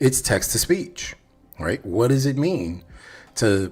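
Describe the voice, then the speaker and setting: The man's voice comes out somewhat breathy. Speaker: developer advocate livestreamer. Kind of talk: live coding stream chat. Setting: livestream. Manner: subdued; halting, self-correcting.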